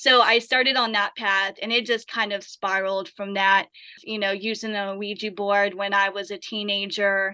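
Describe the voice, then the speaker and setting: Over a quiet background, a woman speaks at a moderate pace and medium pitch in a flat monotone with a bright, sharp tone. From Appalachia. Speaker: paranormal investigator. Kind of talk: interview.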